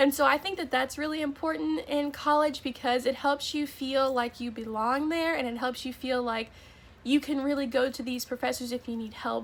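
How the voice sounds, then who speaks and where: Speaking with an American accent, a woman has a high pitch, ordinary pitch variation and a moderate pace. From Florida. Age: young. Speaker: college student. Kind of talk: casual talk to camera.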